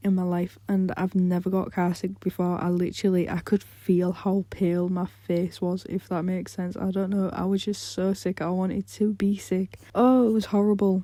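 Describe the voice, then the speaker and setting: A woman speaks at a medium pitch and a moderate pace in a dark, mellow tone, her intonation monotone and flat, with hardly any pauses. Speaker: gaming youtuber. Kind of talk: casual chat.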